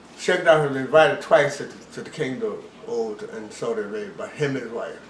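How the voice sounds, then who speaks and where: A man at a moderate pace with very wide pitch swings, against noticeable background noise. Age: 80s+. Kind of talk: interview answer.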